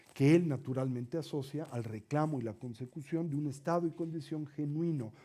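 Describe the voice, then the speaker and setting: A man at a fairly high pitch and a moderate pace, with a dark, mellow tone and ordinary pitch variation. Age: 60s. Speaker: Buddhist teacher. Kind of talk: lecture.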